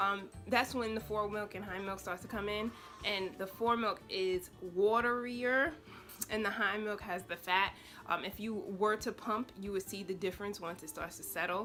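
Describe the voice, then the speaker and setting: With music in the background, a woman talks at a moderate pace. Her pitch is medium and her intonation fairly even. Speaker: lifestyle vlogger and new mother. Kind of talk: casual vlog tutorial.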